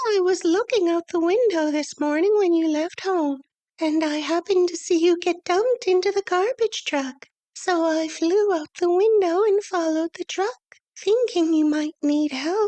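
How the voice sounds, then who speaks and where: Putting on a squeaky character voice, a woman speaks at a moderate pace and an extremely high pitch with ordinary pitch variation. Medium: read story. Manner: brisk and practical.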